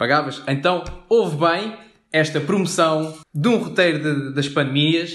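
Over audible room echo, a man with a fairly high pitch speaks at a fairly slow pace with very even loudness. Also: ordinary pitch variation. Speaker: podcast co-host. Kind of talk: comedic scripted banter.

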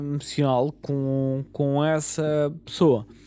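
A man speaks at a very slow pace with a dark, mellow tone. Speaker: podcast host. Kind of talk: solo podcast monologue. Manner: halting, many repetitions and fillers.

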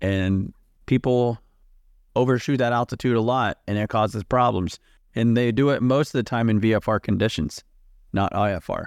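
A man with an American accent speaks at medium pitch and a moderate pace, with ordinary pitch variation, in a plain, everyday voice. The sound is dry and close with no echo, on a very clean recording with a silent background. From United States. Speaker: corporate pilot, podcast co-host. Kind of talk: casual chat.

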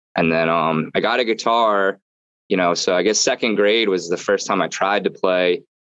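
In a quiet background, a man with a fairly low pitch speaks at a moderate pace in an unremarkable speaking voice, with fairly even intonation and very even loudness. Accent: American. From US Northeast, southern New Jersey. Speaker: musician. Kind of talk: casual chat.

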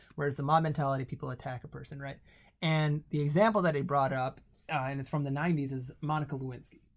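A man with an American accent speaks at a very fast pace with a fairly high pitch. His voice is somewhat breathy, with fairly even intonation. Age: 20s. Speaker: Indian American guest relative. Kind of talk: casual chat.

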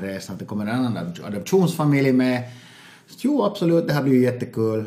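Audible room echo surrounds a man of medium pitch who talks at a moderate pace with lively intonation. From Finland (Finland-Swedish). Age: 40s. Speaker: stand-up comedian and adoptive father. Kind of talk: casual interview. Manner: halting, repetitive.

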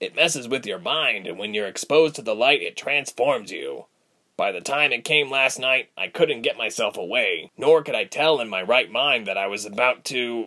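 Here a man puts on a raspy, gruff character voice with a fairly high pitch. He speaks at a moderate pace. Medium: read story. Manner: gruff, guilt-ridden.

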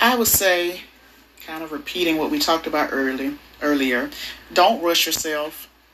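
Over noticeable background noise, a woman with a fairly low pitch and lively intonation speaks at a moderate pace, with long, frequent pauses. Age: 40s. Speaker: mother interviewed as guest. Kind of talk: casual chat.

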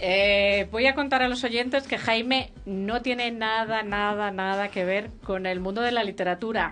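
A woman at a fairly slow pace with fairly even intonation, music in the background. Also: fairly high pitch for a woman. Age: 50s. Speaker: radio host. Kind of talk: casual chat.

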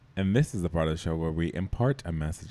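With an American accent, a man talks in a very deep, low pitch. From Boston. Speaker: podcast host. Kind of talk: casual chat.

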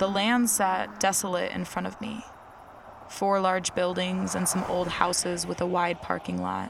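A woman's fairly slow speech over noticeable background noise. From Rochester, New York. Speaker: podcast host and creator. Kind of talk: scripted narration with interviews.

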